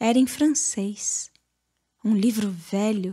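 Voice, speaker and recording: A woman's fairly high, somewhat breathy voice with a dark, mellow tone, at a very slow pace in a very clean recording with a silent background. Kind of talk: audiobook literary reading.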